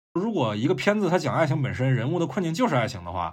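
Talking at a very fast pace with vocal fry, a man has a fairly high pitch, captured on a very clean recording with a silent background. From China, Fuzhou (Fujian). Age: young. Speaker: guest podcaster from another show. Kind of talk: casual chat.

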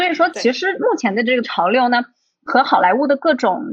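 Speech moves at a fairly quick pace. Its intonation is lively. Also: woman. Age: young. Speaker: film director and producer. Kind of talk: casual chat.

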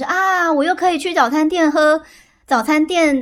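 A woman at a moderate pace. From central Taiwan. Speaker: podcast guest. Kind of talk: casual chat. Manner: lively.

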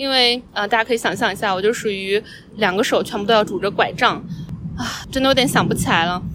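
A woman's voice with lively intonation. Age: 30s. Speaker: podcast host. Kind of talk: casual monologue. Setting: outdoors on a park bench.

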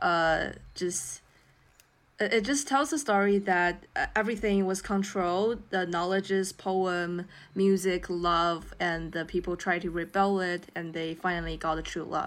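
Speaking at a fairly slow pace with a Chinese accent, a woman shows ordinary pitch variation in a very clean recording with a silent background. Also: medium pitch for a woman. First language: Mandarin Chinese. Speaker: podcast co-host, student. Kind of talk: casual chat.

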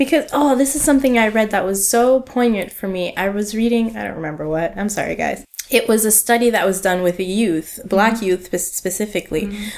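A woman speaks at a fairly quick pace with hardly any pauses, her pitch fairly high and her pitch variation ordinary. Noticeable background noise runs behind her. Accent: Canadian. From Canada, Ottawa. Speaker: museology graduate. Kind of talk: casual chat.

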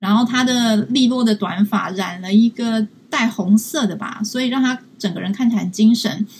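A woman in a Taiwanese accent, fairly high-pitched and somewhat breathy, at a moderate pace. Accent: Taiwanese Mandarin. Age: 20s. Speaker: social science student and field researcher. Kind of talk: live-stream interview. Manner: halting, many fillers.

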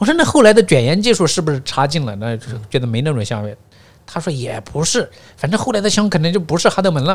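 Talking at a very fast pace, this man has a fairly high pitch. His voice swings very widely in pitch. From northwest China, Gansu, Baiyin, Jingtai county. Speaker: podcast guest, teacher. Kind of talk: casual interview chat.

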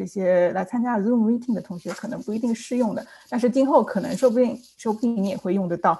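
A woman with a fairly high pitch and a dark, mellow tone talks at a very fast pace, somewhat breathy, with hardly any pauses. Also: ordinary pitch variation. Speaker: licensed immigration consultant. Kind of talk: panel discussion. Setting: video call.

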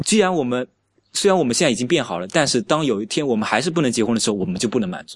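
A man speaks at a very fast pace and medium pitch with very wide pitch swings. The background is quiet. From rural China. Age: 20s. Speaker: LGBT rights activist. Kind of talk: casual interview chat.

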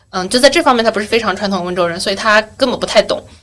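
A woman talks over noticeable background noise. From Yueqing, Wenzhou, Zhejiang, China. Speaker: podcast host. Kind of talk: casual chat.

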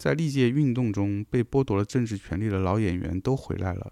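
Against a quiet background, a man with a dark, mellow tone and fairly low pitch talks at a moderate pace using ordinary pitch variation. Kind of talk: reading aloud.

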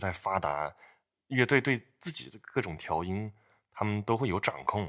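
The recording is very clean, with a silent background. A man is speaking. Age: young. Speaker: bass player, podcast co-host. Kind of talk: casual chat.

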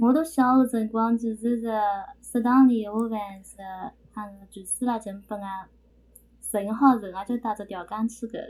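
Fairly high-pitched and somewhat breathy, a woman's dark, mellow voice with big swings in loudness and long, frequent pauses. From Shangyu, Shaoxing, Zhejiang. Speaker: podcast guest. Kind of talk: casual chat.

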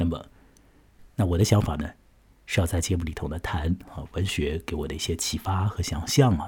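Speaking with a very deep, low pitch, a man sounds relaxed and somewhat breathy. His pitch varies in an ordinary way, with long, frequent pauses. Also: moderate pace. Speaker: podcast host, literature storyteller. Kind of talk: storytelling and literary commentary. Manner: relaxed, many filler particles.

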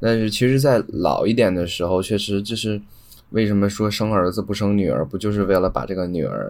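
With a plain, everyday voice, a man speaks at a fairly quick pace, his fairly low pitch showing ordinary variation. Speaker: podcast host (guest). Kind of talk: casual chat. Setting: online call recording.

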